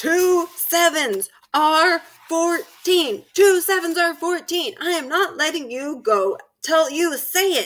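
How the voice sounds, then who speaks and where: A put-on character voice bellows at an extremely high pitch and a very slow pace. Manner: bellowing, domineering.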